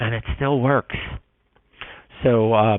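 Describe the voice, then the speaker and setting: Moderate-paced speech from a man, with ordinary pitch variation. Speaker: marketing webinar presenter. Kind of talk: webinar presentation. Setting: online webinar. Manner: halting, many fillers.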